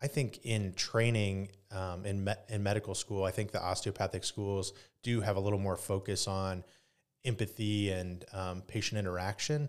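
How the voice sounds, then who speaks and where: In a very clean recording with a silent background, a man with a Midwestern American accent talks at a moderate pace in a fairly low pitch. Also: fairly even intonation. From Northeast Indiana. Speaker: emergency physician and state senate candidate. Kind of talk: interview conversation.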